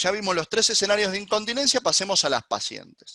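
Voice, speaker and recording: A man with a high pitch projects a raised voice at a fairly quick pace, his tone bright and sharp. The background is quiet. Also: dry, close sound with no echo. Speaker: gynecologist. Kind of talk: lecture. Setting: webinar. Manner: fast.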